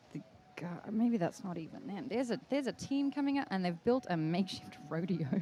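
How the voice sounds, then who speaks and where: Speaking with an Australian accent, a woman talks at a fairly quick pace at a medium pitch, with very wide pitch swings. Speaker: live event commentator. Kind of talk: live commentary. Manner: animated.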